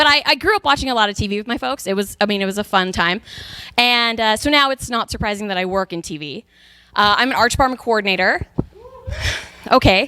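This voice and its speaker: Speaking in an American accent, a woman sounds animated, her fairly high voice carrying lively intonation. She rushes at a very fast pace but leaves long, frequent pauses. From Texas. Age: 30s. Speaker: comedian. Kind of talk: stand-up. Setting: stage with audience.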